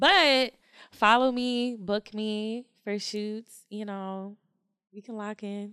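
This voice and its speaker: With an American accent, a woman speaks very slowly at a fairly high pitch in a bright, sharp tone, keeping fairly even intonation while her loudness swings widely. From Jamaican heritage, Philadelphia. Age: 20s. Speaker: stylist and model. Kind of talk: casual chat.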